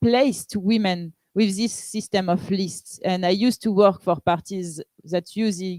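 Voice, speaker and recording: In a French accent, a woman talks at a fairly slow pace with a medium pitch and ordinary pitch variation, the sound dry and close with no echo. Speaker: pirate party politician. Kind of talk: panel discussion. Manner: halting.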